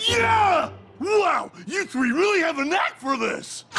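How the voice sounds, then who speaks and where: A man puts on a cartoonish character voice with an extremely high pitch, speaking at a fairly slow pace. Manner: loud, excitable.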